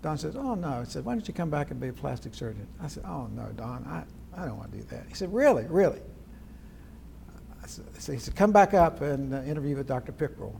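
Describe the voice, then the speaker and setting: Loudness swings widely in this man's voice. He talks at a very fast pace. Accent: American. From West Virginia, Charleston area. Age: 80s+. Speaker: retired plastic surgeon. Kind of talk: oral history interview.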